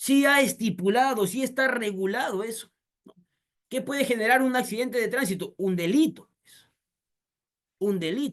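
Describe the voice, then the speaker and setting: Big swings in loudness mark this animated delivery with ordinary pitch variation. The pace is moderate, with long, frequent pauses. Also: man. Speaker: lawyer. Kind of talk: lecture.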